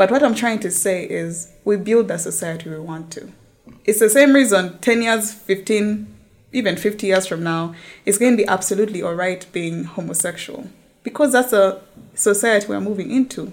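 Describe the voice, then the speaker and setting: At a moderate pace, a woman with a plain, everyday voice speaks in a medium pitch with ordinary pitch variation and big swings in loudness. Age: 20s. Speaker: lawyer. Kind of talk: casual chat.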